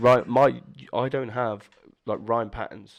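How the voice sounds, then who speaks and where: Over a quiet background, a man with a southern English accent speaks in a monotone, flat intonation. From southern England, Bournemouth. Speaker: rapper. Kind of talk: casual chat. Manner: fast.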